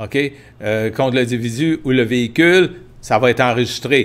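The speaker is a man with a Quebec accent. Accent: Québécois French. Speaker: livestream host, tour agency owner; livestream host. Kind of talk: live-stream Q&A and practical advice. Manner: hesitant, many fillers. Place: home room. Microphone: earbuds.

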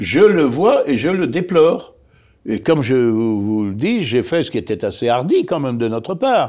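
Male speaker with a dark, mellow tone, very wide pitch swings and a moderate pace, quiet background. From France. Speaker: politician. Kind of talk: interview. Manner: halting. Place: studio.

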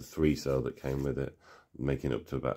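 A man with a very deep, low voice and a dark, mellow tone talks over a quiet background. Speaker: tech hobbyist youtuber. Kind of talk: product show-and-tell commentary. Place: home room.

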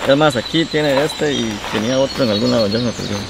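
Over clear background noise, a man talks fast at medium pitch with vocal fry and ordinary pitch variation.

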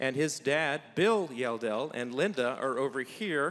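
A man against a quiet background. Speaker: church pastor hosting event. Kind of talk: welcome remarks to congregation. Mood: warm, welcoming. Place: church. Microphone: handheld.

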